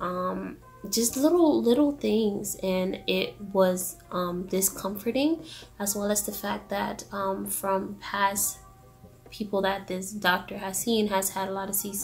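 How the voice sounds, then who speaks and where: A woman whispers quietly at a very slow pace. Noticeable background noise sits behind her. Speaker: vlogger. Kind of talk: casual vlog Q&A. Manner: whispering, quiet; hesitant, many fillers.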